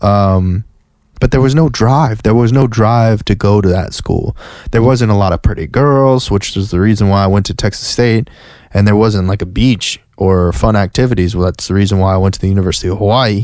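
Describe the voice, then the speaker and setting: A man talks at a fairly quick pace in a fairly low pitch. His pitch varies in an ordinary way. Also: very even loudness. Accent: American. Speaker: podcast host. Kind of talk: casual monologue. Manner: halting, many restarts and fillers.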